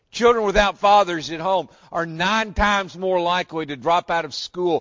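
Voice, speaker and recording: With a Southern US accent, a man speaks at a moderate pace in a high voice. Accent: Southern American. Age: 60s. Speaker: pastor. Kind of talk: sermon. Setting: church.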